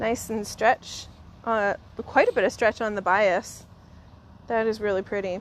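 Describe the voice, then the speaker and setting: Woman with a Canadian accent and fairly high pitch, monotone, flat intonation, fairly slow pace and long, frequent pauses. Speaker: fabric reuse shop staff presenter. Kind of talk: live stream product unboxing. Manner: casual, chatty with fillers.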